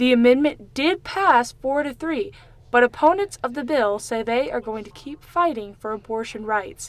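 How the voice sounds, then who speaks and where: In an American accent, a woman talks at a high pitch with lively intonation and big swings in loudness. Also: moderate pace. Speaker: student news reporter and anchor. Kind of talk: broadcast news package and anchor read.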